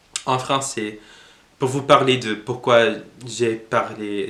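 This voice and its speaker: Speaking very slowly with fairly even intonation, a man with a medium-pitched voice has an English accent. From United States. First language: English (speaking French). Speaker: language learning youtuber. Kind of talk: casual tutorial monologue. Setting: at home. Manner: halting, many hesitations.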